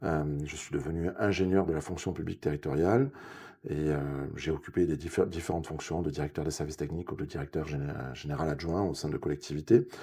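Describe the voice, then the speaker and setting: A man speaks with a southwestern French accent. He moves at a fairly quick pace. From southwest France, Ariège (Pyrenees). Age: 50s. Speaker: local election candidate. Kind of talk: political interview. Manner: hesitant, many fillers.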